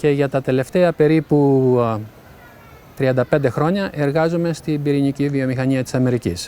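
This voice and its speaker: Recorded dry and close with no echo, a man speaks at a fairly high pitch in a dark, mellow tone. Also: ordinary pitch variation, moderate pace. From Greece, Tegea (Arcadia). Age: 70s. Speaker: nuclear engineering consultant. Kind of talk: interview testimony. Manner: hesitant, with fillers.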